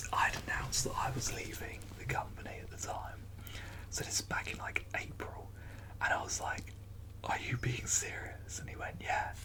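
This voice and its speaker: Over noticeable background noise, someone whispers at a moderate pace. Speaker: ASMR creator. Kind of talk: ASMR casual ramble to camera. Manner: whispered; silly, laughing at times.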